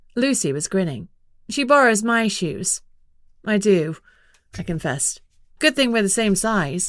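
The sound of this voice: The speaker uses an unforced reading voice with lively intonation.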